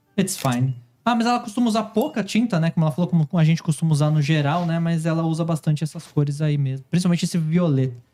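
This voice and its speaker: At a very fast pace with hardly any pauses, a man with a high pitch and a dark, mellow tone keeps his loudness very even. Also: ordinary pitch variation. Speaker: painting channel host. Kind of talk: live chat with translation. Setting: livestream.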